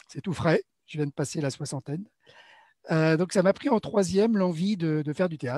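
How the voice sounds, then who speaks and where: A man with a high pitch and a dark, mellow tone takes long, frequent pauses, showing ordinary pitch variation in a dry, close sound with no echo. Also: moderate pace. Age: 60s. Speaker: amateur theatre actor. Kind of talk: interview about his theatre background. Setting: live online broadcast. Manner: hesitant, many fillers.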